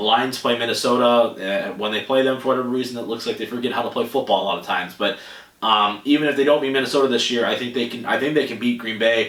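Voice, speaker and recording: A man with an American accent talks at a very fast pace, at medium pitch with fairly even intonation. Noticeable background noise and audible room echo fill the recording. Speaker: sports podcast host. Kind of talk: solo sports podcast talk.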